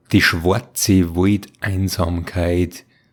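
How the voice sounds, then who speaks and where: A man's very deep, low voice in a Bavarian accent, with fairly even intonation. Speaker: storyteller, narrator of horror tales. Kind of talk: horror story narration.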